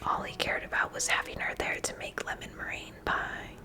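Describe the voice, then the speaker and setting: A whisper against noticeable background noise. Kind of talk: children's book reading. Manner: whispered.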